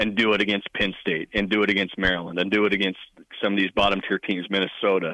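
A man talks in a normal speaking voice at a fairly low pitch. His pace is fairly quick. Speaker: sports reporter. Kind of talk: sports talk interview.

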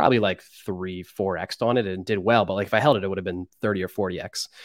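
On a very clean recording with a silent background and a dry, close sound with no echo, a man speaks at a fairly quick pace and fairly low pitch with ordinary pitch variation. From central Pennsylvania. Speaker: sports card collector and social media personality. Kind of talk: casual chat.

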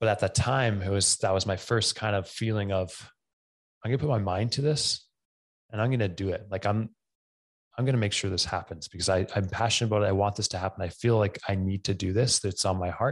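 A man with a Western Canadian accent speaks at a very fast pace in a fairly low voice. His intonation is fairly even, and the background is quiet. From Camrose, Alberta, Canada. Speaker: fitness coach and gym owner. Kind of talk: casual interview.

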